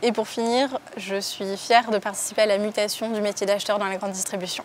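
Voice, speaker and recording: A woman at a fairly quick pace and medium pitch, monotone and flat in intonation, with noticeable background noise. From southwest France, Landes (Mont-de-Marsan). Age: 20s. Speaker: work-study student and buyer. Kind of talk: interview testimony.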